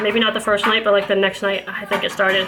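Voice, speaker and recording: A woman's fairly high voice against noticeable background noise. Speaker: mom vlogger. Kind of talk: casual vlog monologue. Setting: at home with kids. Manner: fast.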